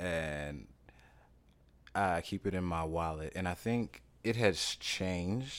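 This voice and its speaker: A man with a Louisiana accent and a very deep, low pitch, on a very clean recording with a silent background. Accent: Southern US (Louisiana). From US South, Louisiana. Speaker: actor. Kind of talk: casual interview.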